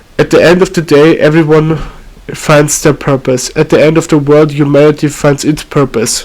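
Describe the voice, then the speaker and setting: Against noticeable background noise, a man with a non-native accent speaks at a fairly slow pace. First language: not English. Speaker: amateur video maker. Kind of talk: reading a script aloud. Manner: halting, frequent self-corrections.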